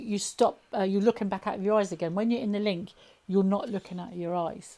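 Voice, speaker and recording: On a very clean recording with a silent background, a woman speaks at a medium pitch with a southern English accent. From southern England, Southampton. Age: 50s. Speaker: alien abduction experiencer. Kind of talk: interview testimony. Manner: fast; halting.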